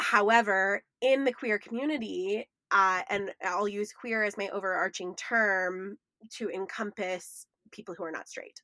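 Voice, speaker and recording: A woman speaks at a medium pitch in a plain, everyday voice, with fairly even intonation and a fairly slow pace. The recording is very clean, with a silent background and a dry, close sound with no echo. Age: 30s. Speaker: podcast host. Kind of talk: casual chat.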